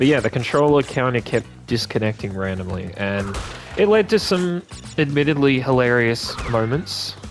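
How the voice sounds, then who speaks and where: Music plays behind a speaker with an Australian accent and lively intonation. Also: man, medium pitch for a man, moderate pace. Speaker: gaming video creator. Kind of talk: let's play commentary. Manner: calm; casual, hesitant fillers.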